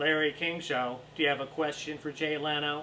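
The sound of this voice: A man's robotic, put-on character voice, fairly high in pitch and monotone, flat in intonation, at a moderate pace over clear background noise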